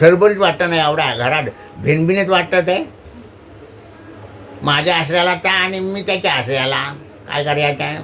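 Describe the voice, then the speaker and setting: Over noticeable background noise, a man speaks at a high pitch with ordinary pitch variation. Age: old. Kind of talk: casual dialect monologue.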